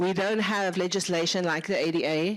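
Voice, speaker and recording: With a South African accent, a woman speaks at a moderate pace in a fairly low pitch with fairly even intonation. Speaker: lecturer. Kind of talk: lecture.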